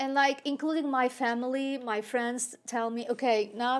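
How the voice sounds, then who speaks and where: The speaker has a Turkish accent. The pace is moderate. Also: woman. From Turkey (Ankara). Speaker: city council candidate and college educator. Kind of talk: interview. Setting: studio. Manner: halting.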